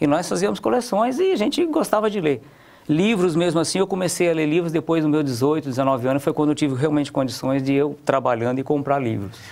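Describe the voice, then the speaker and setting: At a fairly quick pace, a man talks with lively intonation in a fairly high voice. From Paraná, Brazil (raised in interior São Paulo). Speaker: business owner; guest. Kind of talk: interview. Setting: studio. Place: studio.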